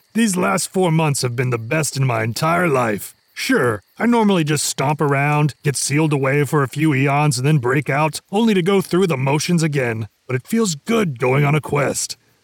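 Doing a put-on character voice, a man talks at a moderate pace with a fairly high pitch. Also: hardly any pauses. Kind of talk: comic fantasy audio drama. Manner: grandiose then sheepish and friendly.

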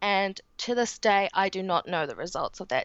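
Using a New Zealand accent, a woman of medium pitch talks at a moderate pace with ordinary pitch variation. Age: 20s. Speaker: guest with chronic illness. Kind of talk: casual interview.

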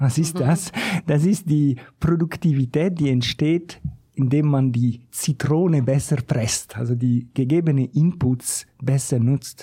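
A man with a fairly high, somewhat breathy voice and a dark, mellow tone speaks at a very slow pace, with ordinary pitch variation and very even loudness. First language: not German (speaking German). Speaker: economist, think tank researcher. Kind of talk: casual chat. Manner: halting.

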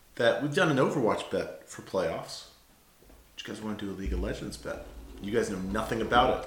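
A man with an American accent at a fairly quick pace, with big swings in loudness and noticeable background noise. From United States. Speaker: gaming podcast co-host. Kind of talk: casual chat.

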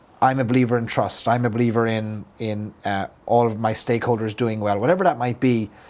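With an Irish accent, a man speaks at a medium pitch and a fairly quick pace, with hardly any pauses and fairly even intonation. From Ireland. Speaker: business consultant. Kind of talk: interview.

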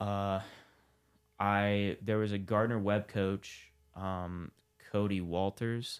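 Very deep, low male voice in an American accent, pitch varying in an ordinary way. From Ohio, Columbus. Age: 20s. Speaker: amateur MMA fighter and former college wrestler. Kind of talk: casual interview.

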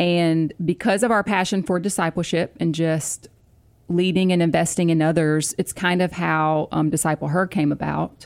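In a very clean recording with a silent background, a woman with a plain, everyday voice speaks at a moderate pace, her fairly low pitch carried with fairly even intonation and very even loudness. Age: 40s. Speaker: pastor's wife, author and podcast co-host. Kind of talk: casual chat.

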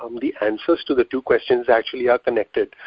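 A man talks at a very fast pace. He has an Indian accent. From Mumbai, India. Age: 30s. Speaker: physical therapist and business owner. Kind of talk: casual interview.

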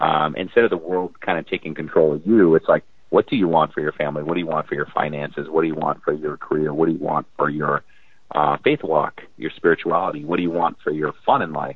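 With an American accent, a man speaks very fast in a very deep, low voice with fairly even intonation. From US Midwest, North Dakota. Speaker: author and life coach. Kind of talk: interview.

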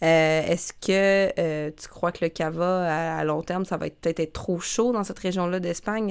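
On a very clean recording with a silent background, a woman with a normal speaking voice and fairly low pitch talks at a fairly quick pace with fairly even intonation. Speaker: wine podcast host. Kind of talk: quiz reading; casual chat.

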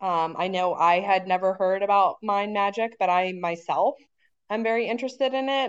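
An unremarkable speaking voice at a fairly quick pace, ordinary pitch variation, quiet background. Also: woman. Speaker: podcast host. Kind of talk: interview.

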